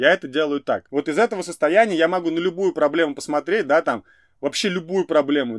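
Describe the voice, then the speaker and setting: A man with fairly high pitch talks at a very fast pace with ordinary pitch variation, his voice dry and close with no echo against a silent background on a very clean recording. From Russia, Ufa. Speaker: entrepreneur, event organizer. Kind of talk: interview. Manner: animated.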